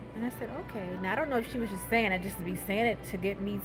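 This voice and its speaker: A woman at a medium pitch with ordinary pitch variation and audible room echo. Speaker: vlogger. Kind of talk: casual chat. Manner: loud; animated.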